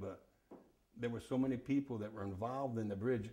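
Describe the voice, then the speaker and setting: A man's dark, mellow, somewhat breathy voice with an American accent, a fairly quick pace and fairly even intonation. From Hudson Valley, New York, USA. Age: 80s+. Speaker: sailor, salvage yard operator and real estate agent. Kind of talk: oral history interview answer. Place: home room.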